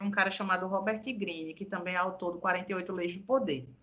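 This is a woman speaking. Her pace is moderate. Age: 30s. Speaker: communications professional and social media personality. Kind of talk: casual chat. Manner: animated.

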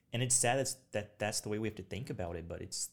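A man speaks at a very fast pace in a somewhat breathy voice, fairly low in pitch with ordinary pitch variation. The recording is very clean, with a silent background. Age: 20s. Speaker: military veteran, former weather forecaster. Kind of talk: casual chat.

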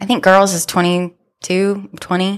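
A woman with an American accent, in a very clean recording with a silent background. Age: 40s. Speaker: teacher and author. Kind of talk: casual chat. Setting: studio. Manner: animated.

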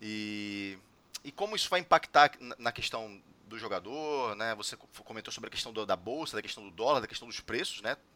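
A man speaks at a medium pitch and a fairly quick pace, with lively intonation and a bright, sharp tone. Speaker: podcast host. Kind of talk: casual chat.

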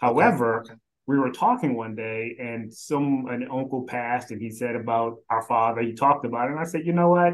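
A man's normal speaking voice with an American accent, medium pitch, ordinary pitch variation, big swings in loudness and a fairly quick pace. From Philadelphia and South Carolina. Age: 50s. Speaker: staffing executive. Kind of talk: casual interview.

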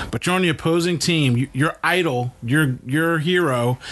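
Fairly high pitch for a man, varying in an everyday way. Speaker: podcast host, father. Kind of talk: casual chat. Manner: loud.

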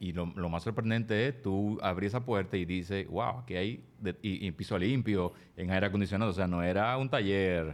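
A man with a plain, everyday voice and a fairly low pitch talks at a moderate pace with very even loudness, ordinary pitch variation and hardly any pauses, on a very clean recording with a silent background. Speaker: podcast host. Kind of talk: casual interview.

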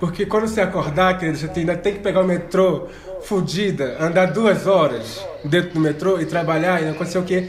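A man speaks in a high voice with ordinary pitch variation. Noticeable background noise and an audible room echo surround him. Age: 20s. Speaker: podcast co-host. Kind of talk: casual chat.

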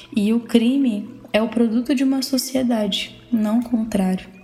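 A woman speaks at a fairly high pitch with fairly even intonation. Noticeable background noise can be heard. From Pará, northern Brazil. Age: 20s. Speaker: law student podcaster. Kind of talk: personal monologue podcast.

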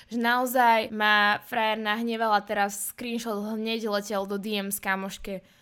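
A woman's fairly high, bright, sharp voice at a fairly slow pace, monotone and flat in intonation, with hardly any pauses, in a very clean recording with a silent background. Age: 20s. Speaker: podcast host. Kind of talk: personal monologue.

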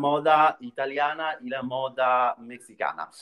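A man is speaking. His pace is very slow. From Italy, Rome. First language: Italian (speaking Spanish). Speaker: fashion PR specialist. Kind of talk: interview. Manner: halting, many fillers.

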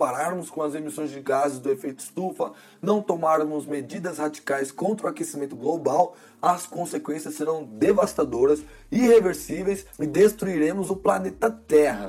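Pitched fairly high, a man speaks at a moderate pace with some vocal fry. His tone is animated and his intonation lively. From Brazil. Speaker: podcast host and graduate student. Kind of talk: solo podcast episode, scripted narration.

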